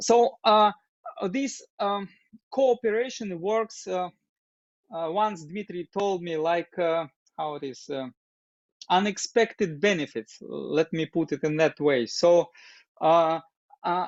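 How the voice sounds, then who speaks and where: This man speaks at a very slow pace with a Russian accent, leaving long, frequent pauses. His high-pitched voice carries lively intonation. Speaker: doctor and open dialogue group facilitator. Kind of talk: interview. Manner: halting, many fillers.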